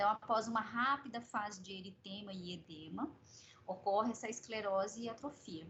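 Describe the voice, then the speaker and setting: With a normal speaking voice at medium pitch, a woman talks at a moderate pace, her pitch varying ordinarily and her loudness swinging widely. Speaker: medical professor. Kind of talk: lecture.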